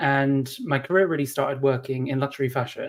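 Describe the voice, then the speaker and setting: Fairly quick speech comes through. It carries a British accent. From UK. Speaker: HR consultant. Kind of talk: interview. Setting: podcast interview. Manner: hesitant, many fillers.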